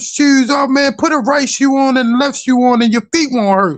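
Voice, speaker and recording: At a moderate pace, a man talks with a Baltimore accent. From US, Baltimore. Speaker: caller on a discussion stream. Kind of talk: casual chat. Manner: halting, many repetitions.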